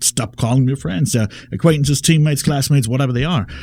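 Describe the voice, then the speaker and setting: A man's medium-pitched, dark, mellow, somewhat breathy voice in a German accent. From Germany. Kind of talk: radio talk show conversation. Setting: radio studio.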